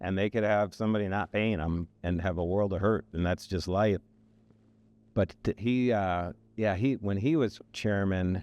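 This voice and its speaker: A man with an unremarkable speaking voice talks at a moderate pace and fairly low pitch, with ordinary pitch variation, very even loudness and a dry, close sound with no echo. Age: 60s. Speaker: construction trade association chairman. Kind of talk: podcast interview.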